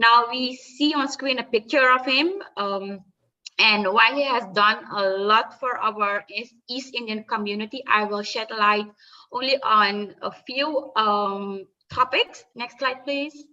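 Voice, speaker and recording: A woman's fairly high voice moves at a very slow pace. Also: ordinary pitch variation. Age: young. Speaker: researcher. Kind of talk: presentation. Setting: video call. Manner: halting.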